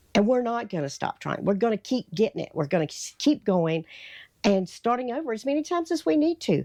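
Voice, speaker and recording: A woman with a Southern US accent, fairly high in pitch with very wide pitch swings and a dark, mellow tone, at a fairly quick pace, in a dry, close sound with no echo and a quiet background. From North Carolina, US South. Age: 60s. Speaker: lifestyle vlogger. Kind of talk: motivational talk to camera. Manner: casual, conversational.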